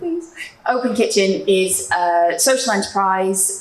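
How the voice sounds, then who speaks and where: A woman speaks at a medium pitch. Noticeable background noise sits behind her voice. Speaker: social enterprise founder. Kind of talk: panel discussion. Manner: loud.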